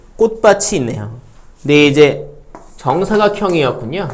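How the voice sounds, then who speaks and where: Audible room echo surrounds this man's voice. His pitch swings very widely. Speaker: math teacher. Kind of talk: lecture. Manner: fast.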